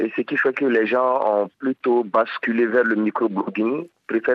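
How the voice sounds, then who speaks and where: A man with a normal speaking voice, medium in pitch, with fairly even intonation. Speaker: blogger association president. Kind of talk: interview.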